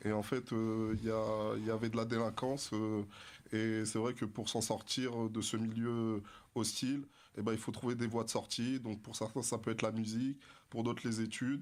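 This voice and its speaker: In a very clean recording with a silent background, a man speaks at a medium pitch. His delivery is monotone and flat, at a moderate pace. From France, Dreux (Paris region suburbs). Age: 30s. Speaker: author, adult trainer. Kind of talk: radio interview. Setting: radio studio. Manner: hesitant, many fillers.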